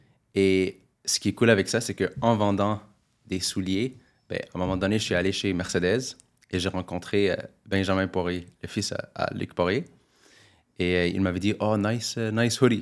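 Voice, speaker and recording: Fairly low in pitch with fairly even intonation, a man speaks with long, frequent pauses on a very clean recording with a silent background. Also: fairly slow pace. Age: 20s. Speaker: real estate investor. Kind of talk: interview. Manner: casual.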